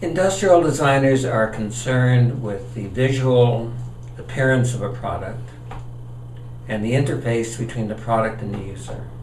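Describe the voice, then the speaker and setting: A man with an American accent speaks at medium pitch, his loudness swinging widely. Noticeable background noise and audible room echo fill the recording. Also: ordinary pitch variation, moderate pace. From California, Los Angeles. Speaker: retired industrial designer and executive. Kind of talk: interview.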